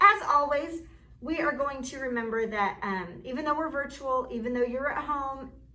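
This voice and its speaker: A woman's raised, projected voice, high in pitch with ordinary variation, at a moderate pace amid audible room echo. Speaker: art teacher. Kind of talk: online class lesson. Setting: classroom.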